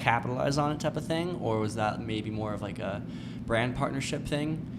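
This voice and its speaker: Over background music and audible room echo, a man talks at a fairly quick pace with ordinary pitch variation. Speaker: podcast host. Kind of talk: casual chat. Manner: halting, repeats words.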